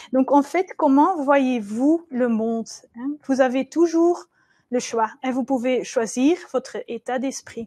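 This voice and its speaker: Against a quiet background, dry and close with no echo, a woman speaks at a very slow pace with a high pitch and big swings in loudness. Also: ordinary pitch variation. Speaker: trainer and business coach. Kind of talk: webinar presentation. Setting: webcast. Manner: halting, many hesitations.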